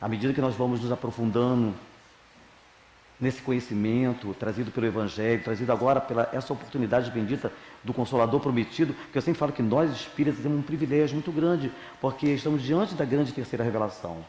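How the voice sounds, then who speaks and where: A man at a very fast pace, ordinary pitch variation throughout. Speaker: spiritist lecturer. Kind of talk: religious talk. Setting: spiritist center with audience. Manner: informal, conversational.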